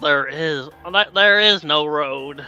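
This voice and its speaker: A man with a fairly high pitch puts on a character voice. Faint music plays in the background. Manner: put-on spirit voice.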